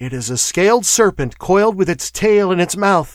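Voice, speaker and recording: Using a put-on character voice, a man speaks at a moderate pace in a shrill tone with very wide pitch swings. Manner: fearful, shaky, rising to hysteria.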